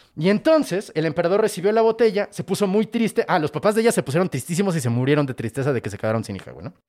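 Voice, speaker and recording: In a central Mexican accent, a man speaks at a very fast pace with hardly any pauses, his high pitch making very wide swings and his loudness shifting greatly in an animated tone, all in a dry, close sound with no echo. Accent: Mexican Spanish (central Mexico). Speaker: comedian and podcast host. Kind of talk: casual storytelling of myths.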